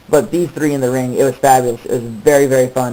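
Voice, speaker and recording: Noticeable background noise sits behind speech delivered at a very fast pace. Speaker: wrestling DVD reviewer. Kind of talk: casual review vlog. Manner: stuttering.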